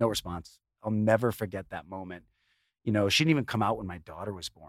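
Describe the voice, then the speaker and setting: A man with an American accent and a fairly low pitch, ordinary pitch variation and a moderate pace, in a dry, close, very clean recording with no echo and a silent background. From Chicago suburbs. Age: 50s. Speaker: chef and TV personality. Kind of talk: casual interview.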